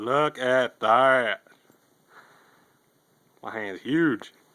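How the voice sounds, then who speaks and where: A man speaks very slowly with a bright, sharp tone, leaving long, frequent pauses. The sound is dry and close with no echo. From US South. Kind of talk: casual talk while filming pets. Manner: playful, cooing to pets.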